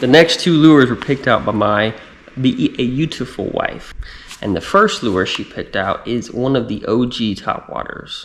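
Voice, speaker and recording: An American man speaks at a moderate pace in a medium pitch, with an American accent. His intonation is lively, and vocal fry runs through his voice. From Texas. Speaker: fishing vlogger, army veteran. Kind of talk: casual product talk to camera.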